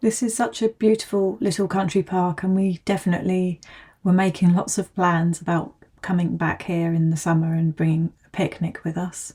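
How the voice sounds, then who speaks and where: Her voice is somewhat breathy with a dark, mellow tone, as this woman speaks at a moderate pace and medium pitch with ordinary pitch variation. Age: 40s. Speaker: mother of a large family. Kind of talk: casual vlog talk to camera.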